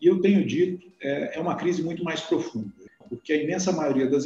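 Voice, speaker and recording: This man's voice sits high in pitch. He talks at a moderate speed. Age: 40s. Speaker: industry federation president, business owner. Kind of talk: live-streamed discussion, moderating. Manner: halting, with fillers.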